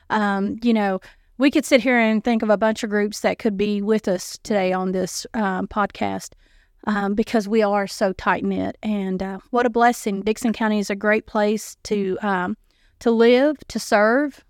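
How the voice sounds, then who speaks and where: With a Southern US accent, a woman speaks fairly slowly at a fairly high pitch. Her intonation stays fairly even, and the sound is dry and close with no echo. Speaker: nonprofit director. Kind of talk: casual chat.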